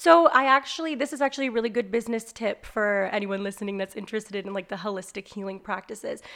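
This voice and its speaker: A loud, bright and sharp female voice, fairly high in pitch with ordinary pitch variation, at a very fast pace. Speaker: business owner and life coach. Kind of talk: casual chat.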